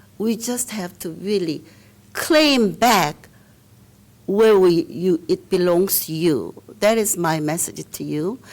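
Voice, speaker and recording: A woman talks at a very slow pace with lively intonation and a medium pitch. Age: 70s. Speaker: guest speaker. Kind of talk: speech to an audience.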